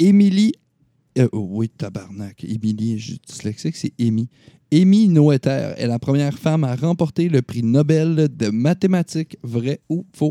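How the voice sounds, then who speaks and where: A man with a Quebec accent, fairly high-pitched and dark, mellow in tone, with very wide pitch swings at a fairly slow pace, in a dry, close sound with no echo. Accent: Québécois French. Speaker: gaming podcast host. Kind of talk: casual chat.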